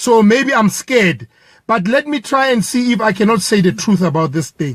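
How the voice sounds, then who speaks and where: Lively intonation marks a man's high pitch. He speaks at a moderate pace. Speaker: protester. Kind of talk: impassioned statement. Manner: halting.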